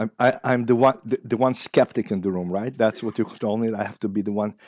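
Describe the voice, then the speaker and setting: A man with an Israeli accent at a very fast pace, medium pitch and fairly even intonation, on a very clean, dry, close recording with no echo and a silent background. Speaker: psychiatry professor. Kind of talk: lecture. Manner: halting, many fillers.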